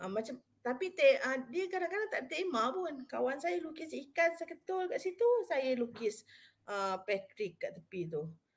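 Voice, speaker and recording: Her voice high and swinging very widely in pitch, a woman speaks at a fairly slow pace. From Malaysia. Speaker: university psychology officer and webinar speaker; webinar speaker. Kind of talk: live webinar talk. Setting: live online stream. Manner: casual, code-switching Malay-English. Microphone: webcam.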